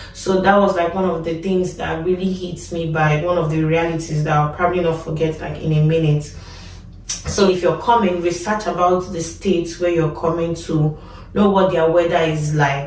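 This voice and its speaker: In a Nigerian accent, a woman with a fairly low pitch talks in a monotone, flat intonation, with audible room echo and noticeable background noise. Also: moderate pace. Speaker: nurse and vlogger. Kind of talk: casual vlog talk.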